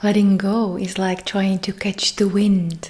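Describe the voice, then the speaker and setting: Soft-spoken and calm, a woman with a medium pitch talks at a very slow pace. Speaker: meditation guide. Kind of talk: meditation intro talk. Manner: soft, calm.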